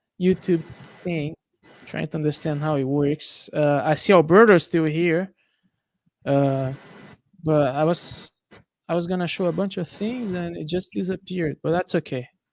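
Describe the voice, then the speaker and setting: Speaking at a fairly slow pace with a Brazilian accent, this voice leaves long, frequent pauses. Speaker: streamer. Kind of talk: casual chat.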